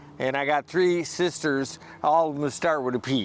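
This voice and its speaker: With an American accent, a man speaks at a moderate pace and ordinary pitch variation. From US Midwest, Saint Paul, Minnesota. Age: 60s. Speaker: homeless military veteran. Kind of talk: street interview. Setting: outdoors on the street.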